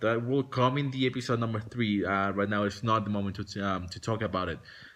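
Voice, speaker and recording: Moderate-paced speech in a Spanish accent. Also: man. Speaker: vlogger. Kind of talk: casual vlog monologue. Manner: halting, many fillers and restarts.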